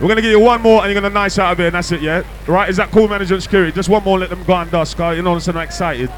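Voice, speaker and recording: Over noticeable background noise, a high-pitched man talks at a very fast pace with hardly any pauses, his tone animated and playful. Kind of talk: hype MC working a live club crowd, shouting out DJs and closing the night. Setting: club or party with a live crowd. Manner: loud, fast, animated crowd-hyping banter with cheeky teasing and call-and-response; playful, jokey, laughing, with UK slang and warm sign-off shout-outs.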